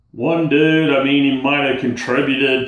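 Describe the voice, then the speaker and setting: With audible room echo, a man speaks fairly slowly in a flat, monotone delivery. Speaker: vlogger talking about bipolar. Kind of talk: angry rant. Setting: solo video at home. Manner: irritated, worked-up, venting; blunt, casual, exasperated. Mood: frustrated, ranting, weary. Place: home room. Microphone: phone near.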